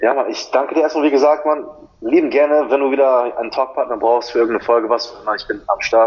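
With a fairly high pitch and fairly even intonation, a man speaks at a very fast pace. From Germany. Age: 20s. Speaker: personal trainer and fitness model. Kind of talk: podcast interview.

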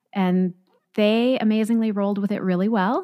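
In an American accent, a woman with medium pitch and ordinary pitch variation speaks at a moderate pace on a very clean recording with a silent background. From Southern California, Orange County. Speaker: pastor. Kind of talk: casual interview.

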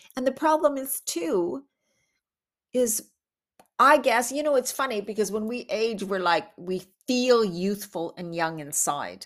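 A woman with a fairly high pitch speaks at a fairly slow pace, her voice swinging very widely in pitch and broken by long, frequent pauses. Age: 50s. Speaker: podcast host. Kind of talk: solo monologue. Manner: casual, chatty with laughs.

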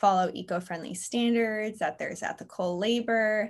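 In a very clean recording with a silent background, a woman with an ordinary speaking voice talks at a fairly slow pace, using medium pitch and fairly even intonation. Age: 20s. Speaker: brand manager. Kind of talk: interview.

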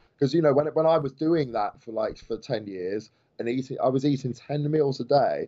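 At a very fast pace, a man talks with a medium pitch. His pitch variation is ordinary. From England, Stamford near Peterborough. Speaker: fitness coach. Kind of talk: podcast interview.

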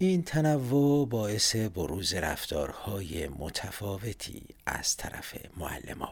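Pitch swings very widely as a man talks at a very slow pace. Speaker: podcaster. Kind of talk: scripted narration.

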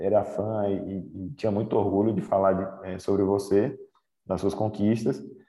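There's music in the background as a man speaks at a fairly low pitch. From Northeast Brazil, raised in Aracaju, Sergipe. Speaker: Olympic cyclist. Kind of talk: casual interview.

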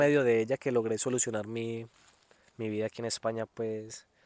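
It is an ordinary speaking voice, a man at medium pitch and a fairly quick pace. The background is quiet, with a dry, close sound and no echo. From Colombia, Antioquia (Medellín area). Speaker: Colombian immigrant farm worker. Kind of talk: interview storytelling. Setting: outdoors in the sun.

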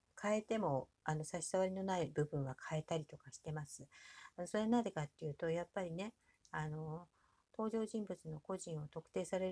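A woman speaks at a moderate pace with a relaxed, dark and mellow tone, somewhat breathy and with lively intonation, in a dry, close sound with no echo. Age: 60s. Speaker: podcaster and aspiring author. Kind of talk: casual monologue. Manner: many fillers, relaxed pace.

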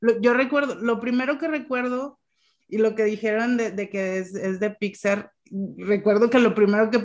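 A woman's unremarkable speaking voice at a moderate pace, fairly high in pitch with ordinary variation. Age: 30s. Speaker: podcast host. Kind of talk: casual chat.

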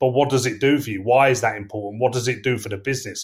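A somewhat breathy voice at a fairly quick pace with an English accent, on a very clean recording with a silent background. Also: man. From England. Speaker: sales leader. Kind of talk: casual interview. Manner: hesitant, filler words.

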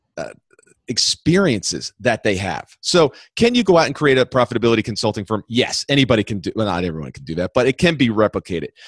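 A man speaks at a very fast pace and medium pitch, with vocal fry and very wide pitch swings. His loudness swings widely, and the sound is dry and close with no echo. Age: 50s. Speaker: entrepreneur and business consultant. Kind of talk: interview.

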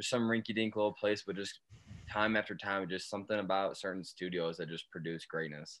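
A man's fairly low voice, an ordinary speaking voice, with fairly even intonation at a fairly quick pace, on a very clean recording with a silent background. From Michigan. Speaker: podcast co-host, Air Force veteran. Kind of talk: casual chat.

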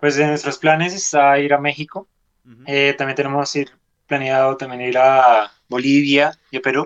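A man speaks at a moderate pace with a fairly high pitch. His intonation stays fairly even. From Colombia. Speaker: rock musician. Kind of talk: radio interview. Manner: hesitant, many filler sounds.

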